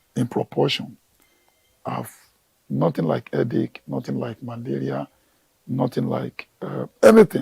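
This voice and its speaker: In a dry, close sound with no echo, a man with a very deep, low pitch, dark, mellow tone and vocal fry speaks at a fairly slow pace, with very wide pitch swings and long, frequent pauses. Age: 60s. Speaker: gardener and plant professional. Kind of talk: TV interview.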